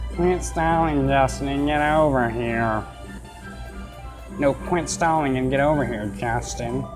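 Against clear background music, a speaker uses a nasal, low-pitched put-on character voice at a fairly slow pace. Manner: nerdy.

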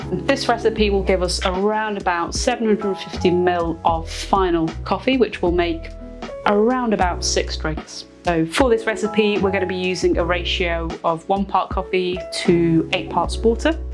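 Clear music plays in the background while a woman talks at a fairly slow pace. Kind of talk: tutorial. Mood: relaxed, lightly playful. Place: studio. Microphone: lapel.

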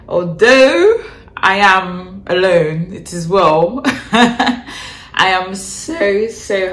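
A woman speaking very slowly with audible room echo. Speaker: vlogger. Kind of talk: casual vlog chat. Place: home room. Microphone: phone near.

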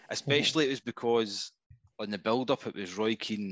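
In a Scottish accent, a man with a fairly low pitch talks at a fairly quick pace with fairly even intonation, in a dry, close sound with no echo and a quiet background. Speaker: football fan caller. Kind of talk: casual chat. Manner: halting.

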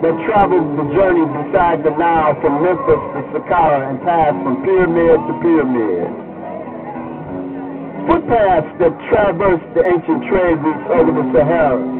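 A man speaks at a moderate pace while clear music sits in the background. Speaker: poet. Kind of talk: poetry reading. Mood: solemn, declamatory. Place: stage.

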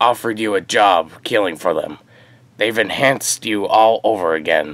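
A man is speaking. His pitch is fairly low. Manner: flattering, nervous.

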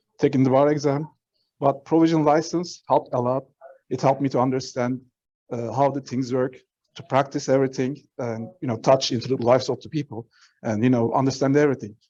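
At a fairly quick pace, a man speaks in a dark, mellow tone at medium pitch with fairly even intonation. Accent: non-native. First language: not English. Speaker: public commenter, provisionally licensed attorney. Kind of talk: public comment at board meeting. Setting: remote meeting, mic enabled by host. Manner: halting, many fillers.

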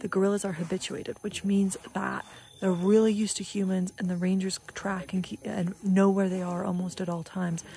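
Woman's fairly quick, monotone and flat delivery, dry sound with no echo, light background noise. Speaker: travel vlogger. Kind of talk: casual vlog chat. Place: open country. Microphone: phone near.

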